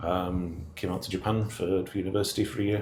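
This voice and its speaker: Somewhat breathy and fairly low-pitched, a man talks at a fairly quick pace with fairly even intonation. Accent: northern English. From northern England. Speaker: engineer in shipping. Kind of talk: interview. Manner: halting, many fillers.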